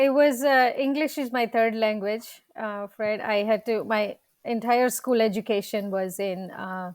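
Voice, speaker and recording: A woman with a Gujarati accent and a fairly high pitch talks at a fairly slow pace with hardly any pauses, on a very clean recording with a silent background. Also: ordinary pitch variation. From India, Gujarat. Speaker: dentist and practice coach. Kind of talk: interview.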